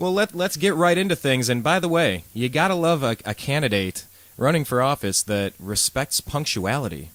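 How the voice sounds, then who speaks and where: At a moderate pace, the voice swings very widely in pitch while the loudness stays very even, with a dry, close sound and no echo. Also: man, fairly high pitch for a man. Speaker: radio show host. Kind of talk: live radio show hosting.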